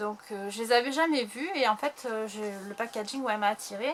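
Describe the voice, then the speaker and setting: Speaking at a fairly slow pace, a woman uses a fairly high pitch with ordinary pitch variation, and noticeable background noise can be heard. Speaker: YouTuber. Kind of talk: haul video. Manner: hesitant.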